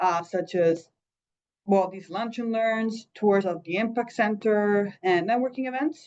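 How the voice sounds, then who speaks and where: This woman has an ordinary speaking voice at medium pitch with ordinary pitch variation. She talks at a fairly slow pace. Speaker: employer coach. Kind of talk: presentation.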